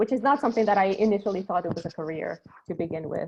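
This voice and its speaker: Spanish-accented female speech with typical pitch movement. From Ecuador, Guayaquil. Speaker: creative marketing producer. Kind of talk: panel discussion. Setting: video call. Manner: hesitant, many fillers.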